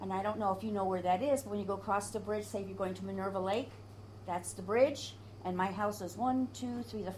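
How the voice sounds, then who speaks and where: A woman's voice with audible room echo. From upstate New York, Adirondacks. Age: 70s. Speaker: oral history interviewee. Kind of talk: oral history interview. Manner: animated.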